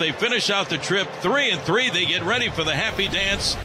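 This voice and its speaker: With an excited tone and fairly quick pace, a man speaks at a high pitch over noticeable background noise. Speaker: baseball play-by-play announcer. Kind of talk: live sports commentary, highlight recap. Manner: excited, rising call on home runs; fast, punchy play-by-play.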